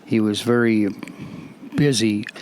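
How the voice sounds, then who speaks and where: A man's fairly low, monotone, flat voice over noticeable background noise. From Alberta, Canada. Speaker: interviewee. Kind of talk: interview. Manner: halting, many fillers.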